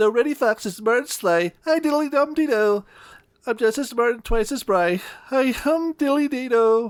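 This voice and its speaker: A squeaky, put-on character voice at a fairly high pitch runs at a moderate pace on a very clean recording with a silent background. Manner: taunting, sing-song rhyme.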